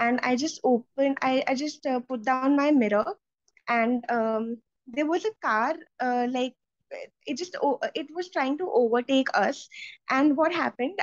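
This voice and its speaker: In a high voice, a woman speaks at a fairly slow pace, with a dry, close sound and no echo. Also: ordinary pitch variation. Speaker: IELTS test candidate, biotechnology master's student. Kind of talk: interview answer. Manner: fluent, hesitant fillers.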